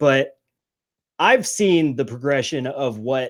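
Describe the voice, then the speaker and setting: At a very slow pace, a man speaks at medium pitch on a very clean recording with a silent background. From Alaska. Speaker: military veteran. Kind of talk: casual chat. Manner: halting.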